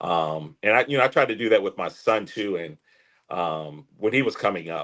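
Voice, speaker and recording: A man talks at a moderate pace in a fairly low voice with lively intonation. His loudness swings a lot. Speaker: former football player. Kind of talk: podcast interview.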